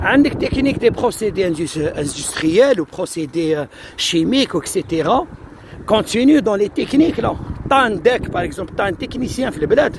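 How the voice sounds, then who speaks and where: Noticeable background noise sits behind a man who speaks fairly slowly in a high voice, his pitch swinging very widely. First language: Algerian Arabic (speaking French). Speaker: immigration advice streamer. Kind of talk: live stream Q&A. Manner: hesitant, code-switching.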